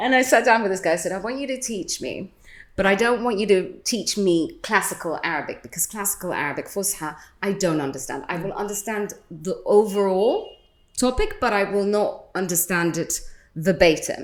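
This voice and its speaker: A woman with a British accent, medium pitch, lively intonation and a fairly quick pace. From London, England. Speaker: radio host. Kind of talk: casual chat.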